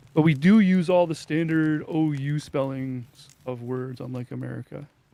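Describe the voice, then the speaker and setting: Speaking with a French Canadian accent, a man uses a fairly high pitch with ordinary variation and a dark, mellow tone. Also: moderate pace, big swings in loudness. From French Canada. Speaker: gamer streamer. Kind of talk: casual chat.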